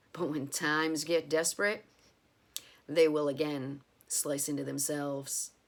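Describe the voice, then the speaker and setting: A woman's raspy, put-on character voice, very deep and low in pitch, at a moderate pace with long, frequent pauses. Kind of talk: horror narration. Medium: read story. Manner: measured, darkly wry.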